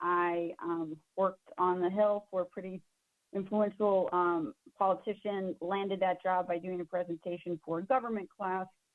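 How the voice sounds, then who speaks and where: An American woman with a plain, everyday voice, medium pitch, fairly even intonation and moderate pace. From Southwestern Virginia. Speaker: marketing workshop presenter. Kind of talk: webinar presentation. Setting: online webinar. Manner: casual, lots of fillers.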